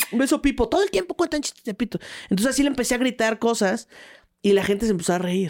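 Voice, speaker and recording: A woman's animated, playful voice in a Mexican accent, fairly high-pitched with lively intonation, very fast, and dry and close with no echo. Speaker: stand-up comedian. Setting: studio. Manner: animated, playful, punchline-driven storytelling.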